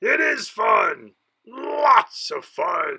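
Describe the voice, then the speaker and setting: A put-on character voice delivers its lines in a growl. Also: man. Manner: snarling, defensive.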